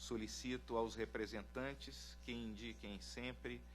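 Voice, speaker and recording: There is audible room echo around a man's very deep, low, somewhat breathy voice. He talks at a very slow pace with ordinary pitch variation. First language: Portuguese (speaking Spanish). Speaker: court president. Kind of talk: formal court procedure. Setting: courtroom public hearing. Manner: formal.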